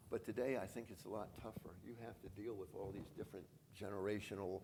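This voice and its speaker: A man speaks with lively intonation and vocal fry. The room echo is audible. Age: 80s+. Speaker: franchise business founder. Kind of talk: conference interview. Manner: halting.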